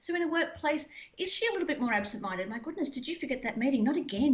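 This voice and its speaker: A woman speaks at a very fast pace in a high pitch with lively intonation, over noticeable background noise. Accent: Australian. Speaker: mental health trainer and former Olympian. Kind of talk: interview. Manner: animated.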